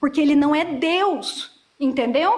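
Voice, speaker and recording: Speaking at a fairly slow pace, a woman uses lively intonation. Her voice sits at a high pitch. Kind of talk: heated debate.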